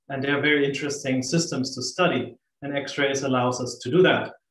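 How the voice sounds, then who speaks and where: With ordinary pitch variation, a man talks at a moderate pace amid audible room echo. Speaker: astrophysicist. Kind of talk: lecture. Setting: video call. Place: home room. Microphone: webcam.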